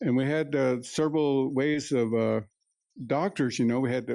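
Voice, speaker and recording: Against a quiet background, a man with a medium pitch and a dark, mellow tone speaks at a moderate pace with fairly even intonation. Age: 70s. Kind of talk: inspirational talk. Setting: live event with audience. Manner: halting, many fillers and repetitions.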